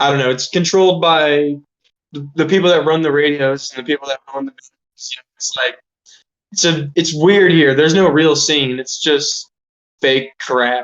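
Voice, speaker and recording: A man with an ordinary speaking voice holds a fairly high pitch and fairly even intonation. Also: moderate pace, big swings in loudness. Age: 20s. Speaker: musician. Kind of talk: interview. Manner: casual, filler-heavy.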